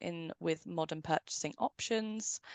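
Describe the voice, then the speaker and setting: In a British accent, a woman talks at a moderate pace with ordinary pitch variation, recorded dry and close with no echo against a quiet background. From United Kingdom. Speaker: software company representative. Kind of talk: webinar presentation. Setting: online webinar.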